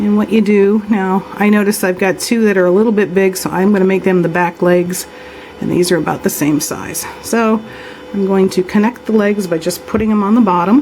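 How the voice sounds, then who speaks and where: At a fairly quick pace, a woman speaks at medium pitch with fairly even intonation, noticeable background noise behind her. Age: 60s. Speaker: polymer clay crafter. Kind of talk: tutorial. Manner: casual, conversational.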